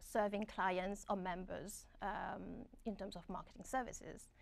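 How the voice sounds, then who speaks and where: A woman speaks at a medium pitch with a strong French accent and fairly even intonation. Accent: thick French. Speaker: graduate student. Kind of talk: webinar panel talk.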